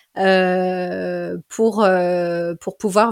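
A woman speaks at a medium pitch in a monotone, flat intonation. The recording is very clean, with a silent background. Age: 30s. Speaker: general practitioner and dance therapist. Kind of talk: interview. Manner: hesitant, many fillers.

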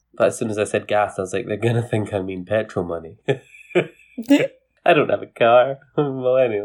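A man with a Scottish accent speaks at a moderate pace, his medium pitch showing ordinary variation. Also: hardly any pauses. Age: young adult, millennial. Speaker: podcast co-host. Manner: animated, self-deprecating, jokey.

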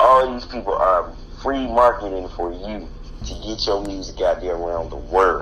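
Audible room echo and noticeable background noise surround a man who talks at a moderate pace with an American accent. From US South, Henry County near Atlanta, Georgia. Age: 30s. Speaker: rapper. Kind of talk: casual chat.

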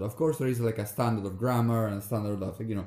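A man speaks with an Italian accent. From Veneto, northeast Italy. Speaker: podcast host, PhD researcher. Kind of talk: casual conversational podcast chat.

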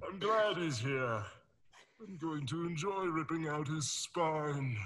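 Putting on a character voice, a man speaks fairly slowly at a fairly high pitch. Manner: menacing.

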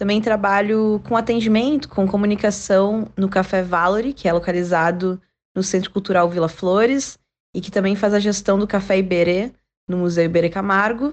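Against a quiet background, a woman talks at a moderate pace and a medium pitch. Hers is an ordinary speaking voice with fairly even intonation. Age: 20s. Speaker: social media influencer. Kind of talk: interview answer.

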